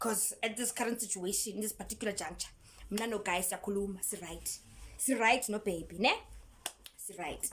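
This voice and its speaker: Somewhat breathy, a woman talks at a fairly high pitch. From South Africa. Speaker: YouTuber. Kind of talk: storytime vlog. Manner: animated.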